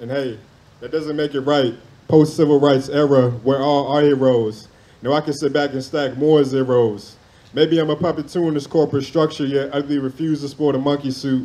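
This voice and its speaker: With a dark, mellow tone and a passionate, intense delivery, a man talks at a fairly quick pace in a fairly high pitch, his intonation monotone and flat. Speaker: spoken word poet. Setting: stage with audience at a poetry event. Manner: passionate, rhythmic cadence, reverent and then intense, with pauses for impact. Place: open country. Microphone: handheld.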